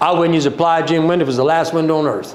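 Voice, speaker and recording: An animated man speaks with a Louisiana accent. Noticeable background noise and audible room echo fill the recording. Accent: Louisiana Southern US. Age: 60s. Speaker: company owner presenting a livestream. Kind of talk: livestream sales talk. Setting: social media livestream.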